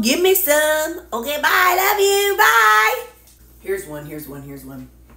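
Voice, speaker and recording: Amid audible room echo, a woman speaks at a fairly slow pace with big swings in loudness. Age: 50s. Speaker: diet vlogger. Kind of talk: casual vlog. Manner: animated. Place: kitchen. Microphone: phone near.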